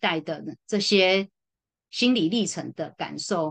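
Over a quiet background, a woman at medium pitch speaks with lively intonation. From Taiwan. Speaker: social worker. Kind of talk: casual interview conversation. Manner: hesitant, many fillers.

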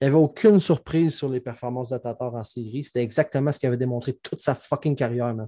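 Against a quiet background, a man with a dark, mellow tone speaks very fast with fairly even intonation and hardly any pauses, the sound dry and close with no echo. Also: medium pitch for a man. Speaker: hockey podcast co-host. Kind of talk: casual chat.

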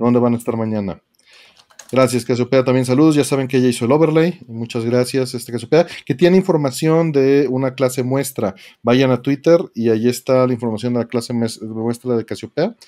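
This man talks at a fairly quick pace and medium pitch, with a dark, mellow tone and ordinary pitch variation. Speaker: podcast co-host. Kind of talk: casual chat.

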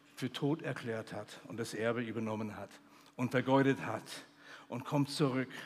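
With a warm tone, a man speaks at a medium pitch and fairly even intonation. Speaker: preacher, missionary theologian. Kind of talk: sermon. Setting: stage with audience at a youth conference. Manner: earnest, warm preaching delivery with emphatic repetition; builds to a fervent, celebratory pitch on joy and feasting.

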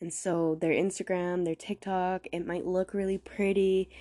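Flat and monotone, a woman speaks at a fairly low pitch in a dark, mellow tone. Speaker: podcast host. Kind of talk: casual monologue. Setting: solo recording. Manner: slower, carefully pronounced.

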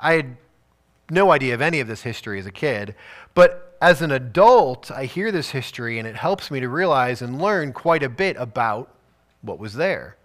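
Very clean recording with a silent background, a man with a Chicago accent, fairly high pitch, lively intonation, big swings in loudness and a moderate pace. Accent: Chicago-area American. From US Midwest, Chicago suburbs. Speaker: pastor. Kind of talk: sermon. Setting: church.

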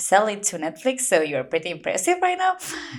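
A woman speaks with a Spanish accent at medium pitch. The recording is very clean, with a silent background. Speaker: podcast host. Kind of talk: casual chat; podcast intro.

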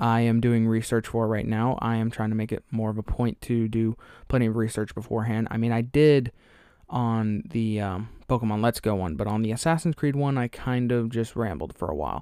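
Heard on a very clean recording with a silent background, a man with an American accent talks at a fairly quick pace in a dark, mellow tone, with a medium pitch and ordinary pitch variation. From Alabama, US South. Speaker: podcast host. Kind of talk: casual solo podcast monologue. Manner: rambling, casual, filler words.

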